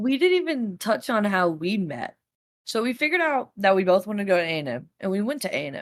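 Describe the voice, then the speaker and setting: A woman's animated, medium-pitched voice with a Texas accent, very wide pitch swings and a very fast pace. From Texas, Dallas. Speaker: college student podcaster. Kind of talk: casual chat.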